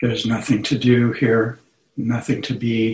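A man with a medium-pitched, somewhat breathy voice speaks at a very slow pace. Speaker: meditation teacher. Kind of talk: guided meditation. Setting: video call.

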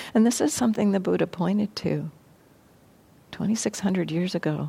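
On a very clean recording with a silent background, a woman talks in an American accent at a moderate pace. Her dark, mellow tone carries vocal fry. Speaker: meditation teacher. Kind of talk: dharma talk then group discussion. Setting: live room with audience. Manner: reflective, measured.

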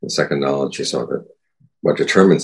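The pace here is fairly quick. It's a man doing the talking. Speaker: Buddhist monk and meditation teacher. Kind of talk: dharma talk with guided meditation and Q&A. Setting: video call. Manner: calm, measured.

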